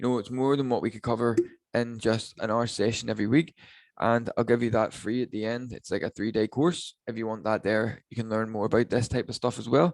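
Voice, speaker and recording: A man with a Northern Irish accent, medium pitch, fairly even intonation and a fairly quick pace, in a dry, close sound with no echo and a quiet background. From Northern Ireland. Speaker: online business coach. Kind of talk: webinar training. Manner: casual, filler-heavy.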